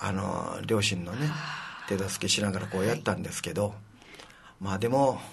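Over noticeable background noise and audible room echo, a man with a fairly low pitch talks at a moderate pace, using ordinary pitch variation and long, frequent pauses. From Okinawa, Shuri (Naha). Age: 70s. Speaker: city council member. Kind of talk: interview.

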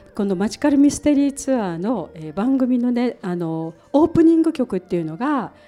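A woman speaks at a high pitch with a dark, mellow tone, moving at a fairly quick pace with hardly any pauses and very wide pitch swings. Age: 60s. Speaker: radio show host. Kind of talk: casual radio talk. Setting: public recording with audience.

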